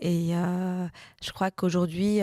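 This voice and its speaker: On a very clean recording with a silent background and a dry, close sound with no echo, a woman speaks slowly in a fairly low, dark, mellow voice with monotone, flat intonation. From Brussels, Belgium. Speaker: political scientist. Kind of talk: interview testimony. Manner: hesitant, many fillers.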